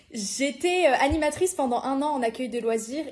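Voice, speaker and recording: A woman's voice with noticeable background noise. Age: young. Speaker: youth worker trainee. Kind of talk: podcast interview. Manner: hesitant, many fillers.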